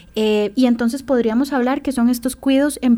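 This woman has an unremarkable speaking voice with a fairly high pitch. She speaks at a fairly quick pace. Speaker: social worker. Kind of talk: radio interview.

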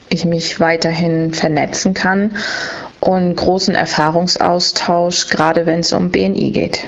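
Very slow, fairly low-pitched speech from a woman, over noticeable background noise. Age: 30s. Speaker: language school owner. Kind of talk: interview answers. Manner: brief, concise.

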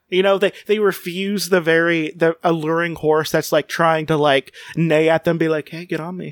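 A man with an American accent speaks at a high pitch and a moderate pace, with hardly any pauses. His intonation stays fairly even, and the sound is dry and close with no echo. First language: Spanish. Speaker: podcast host.

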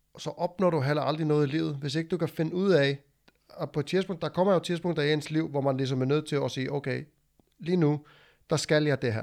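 A man speaks at a fairly quick pace with fairly even intonation and a fairly high pitch. An ordinary speaking voice, on a very clean recording with a silent background. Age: 30s. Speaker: podcast host, former tradesman and powerlifter. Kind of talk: casual chat.

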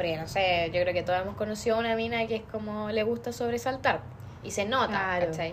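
With audible room echo around her, a woman speaks very fast at a fairly high pitch with ordinary pitch variation. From Chile, Osorno. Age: 20s. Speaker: psychology student. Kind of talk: casual chat.

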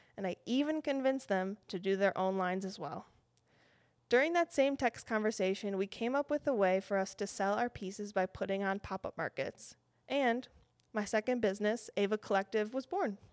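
A woman with a Western New York accent speaks at a moderate pace in a fairly high pitch, her intonation lively, the sound dry and close with no echo on a very clean recording over a silent background. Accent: Western New York American. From Buffalo, New York. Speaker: fashion designer and podcast host. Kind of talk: scripted podcast intro monologue.

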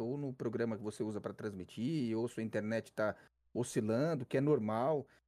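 A man speaks at a moderate pace in a dark, mellow tone. The recording is very clean, with a silent background. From Brazil, São Paulo city (south zone). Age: 30s. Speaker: esports caster and streamer. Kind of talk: casual interview.

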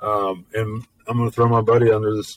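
Recorded with a dry, close sound and no echo, a man speaks at a medium pitch in a somewhat breathy voice. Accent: Memphis. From US South. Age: 40s. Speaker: podcast host. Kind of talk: casual monologue. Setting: home studio. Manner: halting, many fillers.

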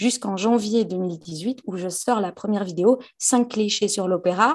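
A woman's medium-pitched, normal speaking voice with ordinary pitch variation. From Belgium. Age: 20s. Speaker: actress and YouTuber. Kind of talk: interview.

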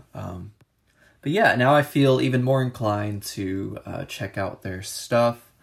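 A somewhat breathy man speaks in a very clean recording with a silent background. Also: medium pitch for a man, ordinary pitch variation, fairly slow pace. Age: 20s. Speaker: music review podcaster. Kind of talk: solo casual music review. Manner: frequent filler words and hesitations.

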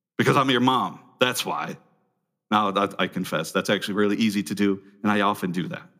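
A man speaks at a moderate pace in a bright, sharp tone. The recording is very clean, with a silent background. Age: 40s. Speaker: pastor. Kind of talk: sermon.

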